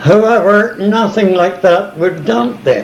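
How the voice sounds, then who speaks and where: At a very slow pace, a man talks with a high pitch against noticeable background noise. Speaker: missionary. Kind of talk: oral history storytelling. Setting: multi-purpose room of retirement home. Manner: animated; confident. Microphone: old cassette recording with tape crackle.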